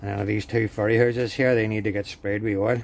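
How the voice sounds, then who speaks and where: A man in monotone, flat intonation at a fairly quick pace over light background noise. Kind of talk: casual vlog chat. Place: workshop. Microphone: phone near.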